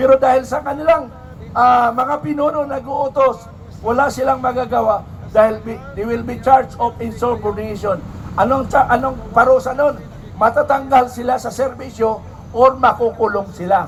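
An extremely high-pitched male voice with fairly even intonation, crowd noise in the background. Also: moderate pace. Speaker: protest speaker, former soldier. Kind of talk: rally speech.

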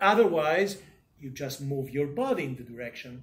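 A somewhat breathy man at a moderate pace with ordinary pitch variation. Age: 60s. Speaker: university professor. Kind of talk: lecture. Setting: classroom. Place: classroom. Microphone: camera far.

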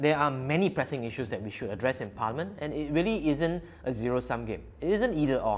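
A man is speaking at a very fast pace. He leaves hardly any pauses. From Singapore. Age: 40s. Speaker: politician. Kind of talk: interview answers. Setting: video interview. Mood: warm, lightly humorous. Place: home room. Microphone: lapel.

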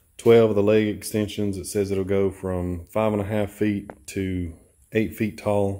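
Low and fairly slow, a man's voice has a dark, mellow tone, fairly low pitch, and monotone, flat intonation. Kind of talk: tutorial. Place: garage. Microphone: phone near.

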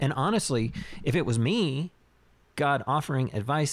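A man's plain, everyday voice at a medium pitch and moderate pace. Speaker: podcast co-host. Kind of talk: casual chat.

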